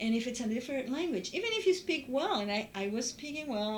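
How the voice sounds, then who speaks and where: A woman's high voice in a Spanish accent at a fairly quick pace, with audible room echo and noticeable background noise. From Uruguay. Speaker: former international student. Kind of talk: interview testimony.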